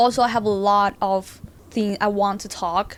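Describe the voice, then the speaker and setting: Someone with a non-native accent speaks at a moderate pace in a flat monotone. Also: woman. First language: not English. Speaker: music producer and vlogger. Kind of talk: vlog talking to camera. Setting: filming alone to camera. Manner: halting, with false starts.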